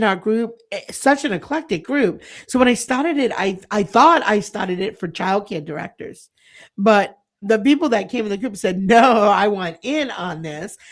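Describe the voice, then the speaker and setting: With an unremarkable speaking voice, a woman speaks at a fairly high pitch and a moderate pace with lively intonation, on a very clean recording with a silent background. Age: 50s. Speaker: early childhood center owner and leadership coach. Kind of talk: podcast interview.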